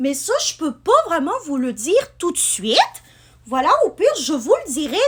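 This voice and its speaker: A woman's voice with very wide pitch swings. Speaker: booktuber and vlogger. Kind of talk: casual vlog talk. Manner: hesitant, many fillers.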